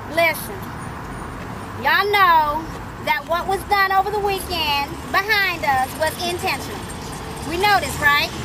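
With a raised, projected voice, the speaker goes at a fairly slow pace with long, frequent pauses and ordinary pitch variation over noticeable background noise. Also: woman, extremely high pitch for a woman. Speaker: rally leader. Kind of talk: rally speech, call and response. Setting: outdoors in the rain.

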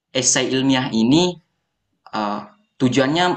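At a medium pitch with ordinary pitch variation, a man talks in a plain, everyday voice. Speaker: university student, foundation founder. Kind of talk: podcast interview.

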